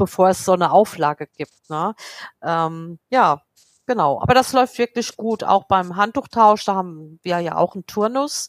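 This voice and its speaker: At a moderate pace, a woman of medium pitch speaks in a dry, close sound with no echo. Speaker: head of housekeeping at a clinic. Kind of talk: casual interview. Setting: remote call.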